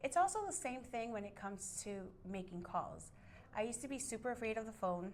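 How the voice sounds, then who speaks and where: Speaking fairly quickly in a Miami accent, a woman uses a fairly high, bubbly voice with lively intonation, amid audible room echo and noticeable background noise. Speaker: real estate agent. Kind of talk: interview.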